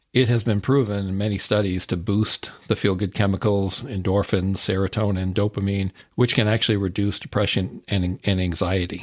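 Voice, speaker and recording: Recorded very cleanly against a silent background, a man with an ordinary speaking voice talks at a moderate pace and fairly low pitch, his intonation fairly even. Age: 60s. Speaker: podcast host. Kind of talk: podcast monologue.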